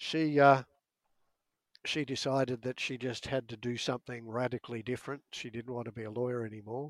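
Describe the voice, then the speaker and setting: In an Australian accent, the speaker goes at a fairly quick pace with monotone, flat intonation but big swings in loudness. The recording is very clean with a silent background, and the sound is dry and close with no echo. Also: man, medium pitch for a man. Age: old. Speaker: author and meditation teacher. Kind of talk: casual chat.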